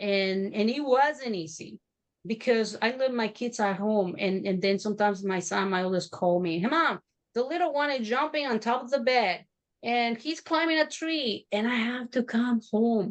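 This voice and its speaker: The speaker has a Mexican accent and lively intonation. The pace is moderate. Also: woman, fairly high pitch for a woman. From Mexico. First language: Spanish. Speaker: entrepreneur. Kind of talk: interview testimony. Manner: halting.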